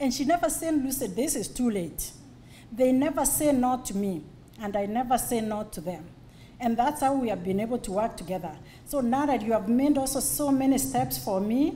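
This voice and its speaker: Audible room echo surrounds this woman's voice. She speaks at a fairly high pitch and moderate pace with lively intonation. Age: 50s. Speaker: business community founder. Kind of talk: birthday speech. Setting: event hall with audience.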